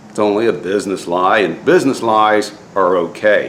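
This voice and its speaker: Noticeable background noise and audible room echo behind a man's voice at a moderate pace. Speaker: DIY boat builder and faith vlogger. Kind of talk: casual vlog talk with devotional message. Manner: halting, many fillers.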